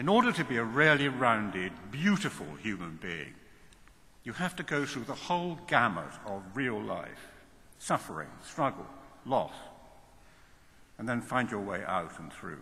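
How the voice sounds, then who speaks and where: A man speaks at a fairly slow pace with vocal fry, a bright, sharp tone, very wide pitch swings, big swings in loudness, long, frequent pauses and audible room echo. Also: medium pitch for a man. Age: 70s. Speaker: university chancellor. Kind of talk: commencement speech. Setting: large hall with audience. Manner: animated.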